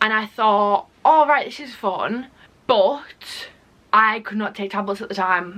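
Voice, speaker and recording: A woman with an English accent speaks at a fairly slow pace and fairly high pitch, with ordinary pitch variation. Her loudness swings widely. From England. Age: young. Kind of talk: casual talk to camera.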